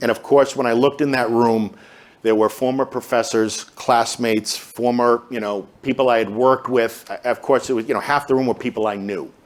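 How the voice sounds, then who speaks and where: A man with a Boston accent, medium pitch, fairly even intonation and a fairly quick pace. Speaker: pharmacist in recovery, speaker. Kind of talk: Q&A talk. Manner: hesitant, filler words.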